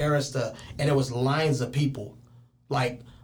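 A somewhat breathy man speaks at a moderate pace with fairly even intonation, with audible room echo around him. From Richmond, California (Bay Area). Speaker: PE teacher and rapper. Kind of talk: casual chat. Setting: studio.

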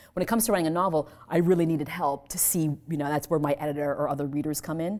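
This woman talks at a very fast pace in a very deep, low voice, with a dark, mellow tone and fairly even intonation. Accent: American. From US, left Vietnam as a child. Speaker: author and poet. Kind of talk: live reading and audience Q&A. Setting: library event with audience.

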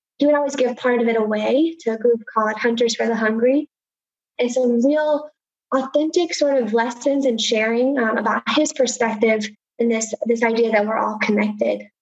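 A woman with an American accent talks at a moderate pace in a normal speaking voice, fairly high in pitch. Her intonation is fairly even and her loudness very even. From Appalachia, Southwest Virginia. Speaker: engineer and university education director. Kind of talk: interview storytelling.

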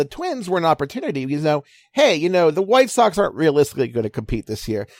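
A man mumbles at a very fast pace in a high pitch. His pitch swings very widely. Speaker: baseball writer. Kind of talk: casual interview chat. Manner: fast, mumbling, excitable.

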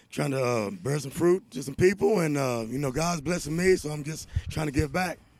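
A man with a fairly high pitch and an unremarkable speaking voice uses lively intonation. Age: 40s. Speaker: recovering addict in a recovery program. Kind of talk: casual interview.

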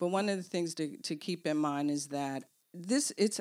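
A normal speaking voice at a moderate pace, lively in intonation, on a very clean recording with a silent background. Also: woman. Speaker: co-host. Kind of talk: casual podcast discussion, book review.

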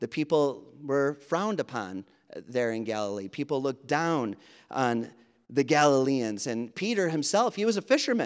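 A man with a slight Wisconsin accent talks at a moderate pace. His fairly high voice swings very widely in pitch. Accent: Wisconsin Midwestern, slight. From Wisconsin, US. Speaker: preacher. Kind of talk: sermon. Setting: church.

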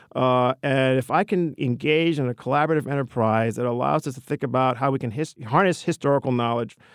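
A man with a New York accent talks at a fairly quick pace and a medium pitch, with ordinary pitch variation and a dry, close sound with no echo. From New York City, the Bronx. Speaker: history professor. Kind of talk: interview.

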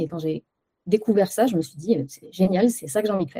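A woman talks at a fairly quick clip in a medium pitch, her tone dark and mellow, with ordinary pitch variation. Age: 40s. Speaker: web developer. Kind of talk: interview.

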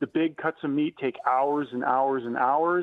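An unremarkable speaking voice from a man, fairly high in pitch, with fairly even intonation at a moderate pace. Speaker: restaurant owner and motivational speaker. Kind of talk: radio interview.

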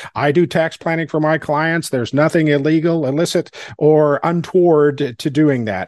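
In a normal speaking voice, a man talks at a moderate pace with a fairly high pitch, fairly even intonation and hardly any pauses. The sound is dry and close, with no echo. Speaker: podcast host. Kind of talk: interview conversation.

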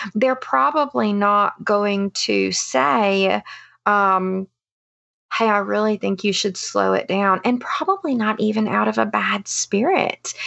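A woman at a very slow pace, her loudness very even. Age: 30s. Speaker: counselor and mom. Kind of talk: interview conversation.

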